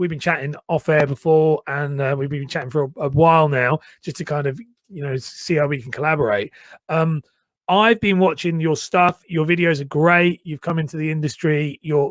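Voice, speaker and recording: A man speaks with a slight northern English accent and a fairly high pitch, with ordinary pitch variation. The recording is very clean, with a silent background. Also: moderate pace, dry, close sound with no echo. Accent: slightly posh slightly northern English. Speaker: personal branding coach and podcast host. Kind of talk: casual interview chat.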